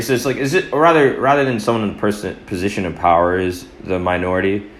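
Lively in intonation, a man talks at a fairly quick pace amid audible room echo. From US, born in Atlanta to Eritrean parents. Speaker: photographer. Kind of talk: casual chat.

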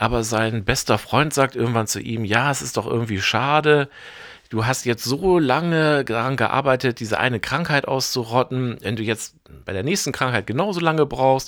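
A man speaks in an ordinary speaking voice at medium pitch and a moderate pace, with ordinary pitch variation, in a very clean recording with a silent background. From Bremen, northern Germany. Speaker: film curator and film journalist. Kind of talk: casual film discussion podcast.

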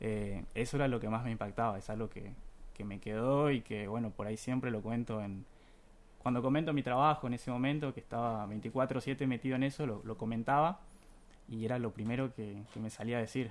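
A man's medium-pitched voice is captured in a very clean recording with a silent background. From Buenos Aires, Argentina. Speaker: journalism student, contest winner. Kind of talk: radio interview. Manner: halting, many fillers.

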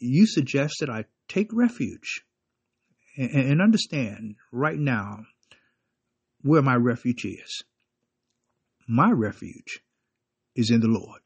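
A man talks very slowly at a medium pitch, with long, frequent pauses. His voice is somewhat breathy and swings very widely in pitch. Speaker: preacher. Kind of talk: short devotional sermon with fervent prayer at the close. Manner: earnest, fervent, preacherly; halting, repeats words.

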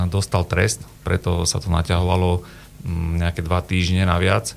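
A man talks at a moderate pace in a very deep, low pitch. There is noticeable background noise. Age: 40s. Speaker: football coach. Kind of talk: radio interview. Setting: radio studio.

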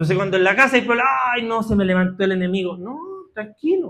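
A man is speaking. His tone is animated and playful. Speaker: preacher. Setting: church with congregation. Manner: animated, fervent, with a direct, urgent appeal to the congregation; conversational and playful, with humorous asides and call-and-response.

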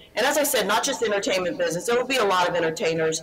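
A woman with an American accent speaks at a fairly low pitch with lively intonation. Noticeable background noise is present. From Houston, Texas. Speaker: actress and producer.

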